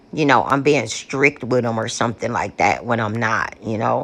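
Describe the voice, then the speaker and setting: A woman talks at a fairly slow pace. Vocal fry runs through her speech. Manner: casual, conversational, many fillers.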